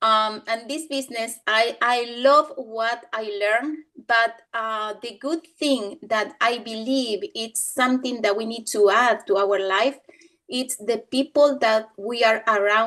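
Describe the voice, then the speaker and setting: Against a quiet background, a woman with a Spanish accent talks at a very slow pace, her fairly high pitch carrying a bright, sharp tone and fairly even intonation. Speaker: business team member. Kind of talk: testimony in a training session. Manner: halting.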